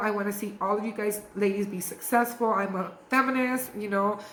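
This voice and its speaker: With an animated tone, a woman of medium pitch speaks at a fairly quick pace and ordinary pitch variation as audible room echo surrounds her. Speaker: beauty sales distributor / influencer. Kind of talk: training video monologue. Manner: fast.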